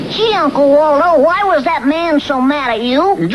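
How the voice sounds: Someone performs a cartoonish character voice at a moderate pace, with clear background noise behind it.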